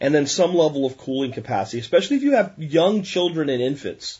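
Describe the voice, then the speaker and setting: Very fast and somewhat breathy, a man talks with an American accent. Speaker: podcast host. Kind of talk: solo podcast monologue. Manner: animated.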